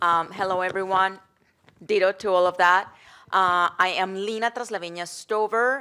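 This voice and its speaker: Her tone bright and sharp, a woman with a Colombian accent talks at a moderate pace, with medium pitch and fairly even intonation. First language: Spanish. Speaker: worker center executive director. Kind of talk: panel discussion. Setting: post-screening panel before live audience.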